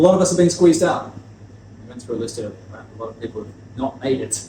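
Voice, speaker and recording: A man talking at a very fast pace, with big swings in loudness, audible room echo and noticeable background noise. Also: medium pitch for a man. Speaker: spirits distributor. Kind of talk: lecture.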